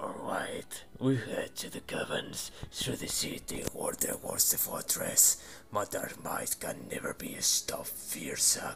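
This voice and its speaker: A man speaks in a put-on character voice. His pace is fairly slow, with hardly any pauses. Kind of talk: villain monologue. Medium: audio drama. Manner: menacing, triumphant.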